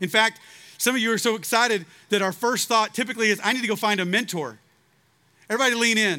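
Very fast and loud, a man with a Texan accent projects a bright, sharp voice at a high pitch on a very clean recording with a silent background. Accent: Texan American English. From Texas, Waco. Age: 40s. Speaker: preacher. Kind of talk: revival sermon to a large outdoor student crowd, urgent personal appeal. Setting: outdoor stage with large audience. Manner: impassioned, rising, exhorting preacher cadence; earnest, confessional storytelling.

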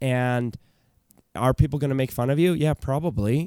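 Speaking fairly quickly with a Canadian accent, a man has a dark, mellow tone and ordinary pitch variation. The sound is dry and close with no echo, the recording very clean against a silent background. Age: 30s. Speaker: YouTube creator and agency owner. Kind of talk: casual interview chat. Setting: basement studio.

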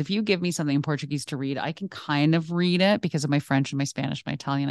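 Against a quiet background, a woman with a Canadian accent and a very deep, low pitch speaks at a very fast pace in an animated tone, with ordinary pitch variation and a dry, close sound with no echo. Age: 40s. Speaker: teacher librarian. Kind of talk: casual interview. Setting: at school.

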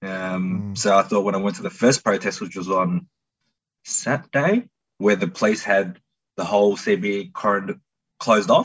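With an Australian accent, a man talks at a fairly low pitch. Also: ordinary pitch variation, moderate pace. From Melbourne, Australia. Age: 30s. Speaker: tradesman. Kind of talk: interview.

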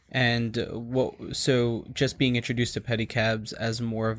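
A man with an American accent and an ordinary speaking voice, medium in pitch, on a very clean recording with a silent background. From New York. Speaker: podcast host. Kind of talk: podcast interview.

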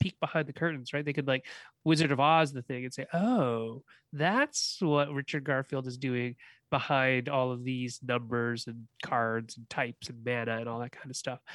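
An unremarkable speaking voice with a Canadian accent moves at a moderate pace with ordinary pitch variation, dry and close with no echo on a very clean recording with a silent background. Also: man. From Canada. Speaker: game designer and college professor. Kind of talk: casual interview chat.

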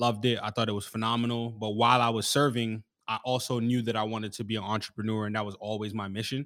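A man's medium-pitched voice with an American accent, very fast, with hardly any pauses and monotone, flat intonation. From US Northeast, Bronx, New York. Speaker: entrepreneur and Marine veteran. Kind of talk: casual interview.

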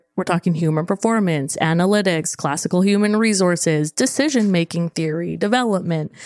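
The loudness stays very even and there are hardly any pauses at a fairly quick pace. Pitch varies in an ordinary way, and the sound is dry and close with no echo. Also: woman, fairly low pitch for a woman. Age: 30s. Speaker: mental performance consultant. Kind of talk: casual chat. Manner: animated.

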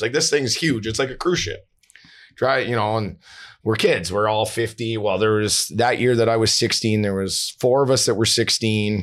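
Recorded very cleanly against a silent background, a man talks at a moderate pace in an unremarkable speaking voice. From Canada, Vancouver. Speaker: former pro hockey player and high school coach. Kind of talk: casual chat.

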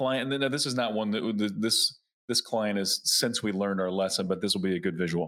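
On a very clean recording with a silent background, a man uses an ordinary speaking voice, fairly low in pitch with ordinary pitch variation, very even loudness and a fairly quick pace. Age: 40s. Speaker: YouTube advertising agency head. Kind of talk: podcast interview.

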